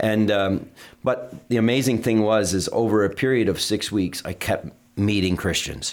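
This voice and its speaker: A man with an American accent speaks at a moderate pace with fairly even intonation in a plain, everyday voice. The recording is very clean, with a silent background. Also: fairly low pitch for a man. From US Northeast, Vermont. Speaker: pastor. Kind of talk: interview. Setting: studio.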